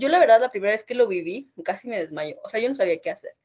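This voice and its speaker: Very fast speech from a woman at a fairly high pitch, with very wide pitch swings. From northern Mexico. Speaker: podcast co-host. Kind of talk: casual chat.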